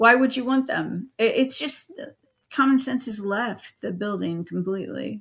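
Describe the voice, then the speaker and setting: A woman with an American accent speaks at a moderate pace in a normal speaking voice. Her pitch is fairly high, with ordinary variation. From United States. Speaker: political stream co-host. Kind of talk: casual political discussion.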